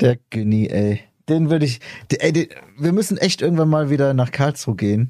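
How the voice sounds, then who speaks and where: This man has an ordinary speaking voice, fairly high in pitch, with very even loudness. He talks at a fairly quick pace with lively intonation. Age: 30s. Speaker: podcast host. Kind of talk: casual chat.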